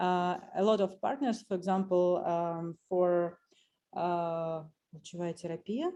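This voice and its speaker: The voice has a dark, mellow tone and a Russian accent, moving at a fairly slow pace with fairly even intonation. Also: woman, fairly low pitch for a woman. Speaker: doctor at a breast cancer clinic. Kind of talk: audience question in webinar Q&A. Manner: halting.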